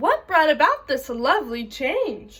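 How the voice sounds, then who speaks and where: A put-on character voice with very wide pitch swings, at a fairly slow pace. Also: woman. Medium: read story. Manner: sweet.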